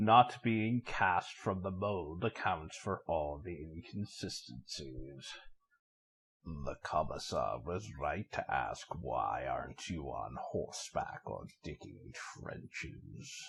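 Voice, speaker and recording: In a put-on character voice, a man speaks very slowly at a very deep, low pitch. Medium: audio drama. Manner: calm, almost mocking.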